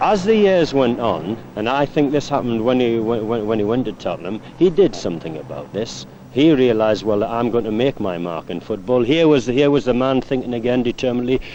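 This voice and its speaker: With a Newcastle accent and lively intonation, a man talks at medium pitch against noticeable background noise. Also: moderate pace. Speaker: former footballer and teammate. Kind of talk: interview reminiscence.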